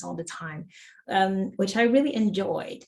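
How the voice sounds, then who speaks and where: A woman with a somewhat breathy, medium-pitched voice speaks at a moderate pace. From Suriname. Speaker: productivity coach. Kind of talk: interview conversation.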